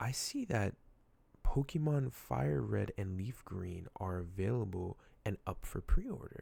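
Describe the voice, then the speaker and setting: A man's very deep, low voice, dark and mellow in tone and somewhat breathy, at a fairly slow pace with lively intonation. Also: very clean recording, silent background. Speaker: gaming youtuber. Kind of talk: casual vlog. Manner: slightly slurred; halting.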